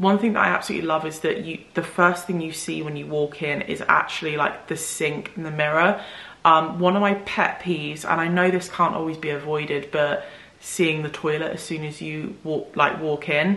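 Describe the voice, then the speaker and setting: Her pitch very deep and low, a woman speaks at a moderate pace with fairly even intonation, with audible room echo. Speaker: home renovation vlogger. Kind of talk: casual vlog chat. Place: home room.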